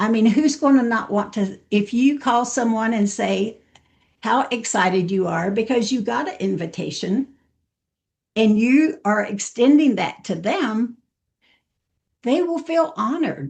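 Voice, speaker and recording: Speaking fairly slowly, a woman uses a fairly high, somewhat breathy voice with an animated tone and lively intonation. She leaves long, frequent pauses. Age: 70s. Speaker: network marketing trainer. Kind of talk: training talk.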